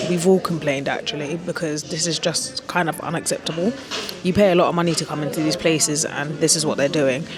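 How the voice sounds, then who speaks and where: A woman with a fairly low voice talks at a very fast pace with ordinary pitch variation, music in the background. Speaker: travel vlogger. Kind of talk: vlog to camera. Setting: airport lounge.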